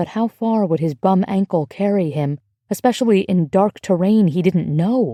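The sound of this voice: Over a quiet background, the pitch moves in an ordinary way through an unforced reading voice.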